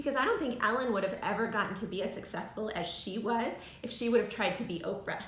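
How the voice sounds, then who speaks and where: Amid noticeable background noise and audible room echo, a woman with a fairly high pitch speaks very fast. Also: ordinary pitch variation. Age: 40s. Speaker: live show host. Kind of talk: casual interview chat. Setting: live video stream.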